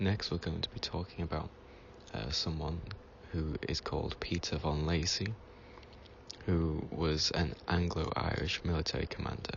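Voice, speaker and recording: Soft-spoken and calm, a man talks at a moderate pace with a very deep, low pitch and fairly even intonation. His voice is somewhat breathy, with long, frequent pauses. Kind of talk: reading from reference text. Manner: calm, relaxing.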